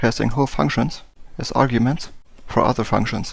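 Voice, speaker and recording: On a very clean recording with a silent background, a man with a non-native accent speaks at a fairly quick pace, with vocal fry and ordinary pitch variation. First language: not English. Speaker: game development tutorial youtuber. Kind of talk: casual explainer talk to camera. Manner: halting, frequent fillers.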